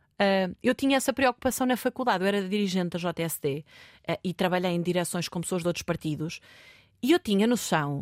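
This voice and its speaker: A woman with a fairly low voice speaks at a fairly quick pace with ordinary pitch variation, in a very clean recording with a silent background and a dry, close sound with no echo. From Portugal, Marinha Grande. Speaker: politician. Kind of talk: interview. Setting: studio. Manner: hesitant.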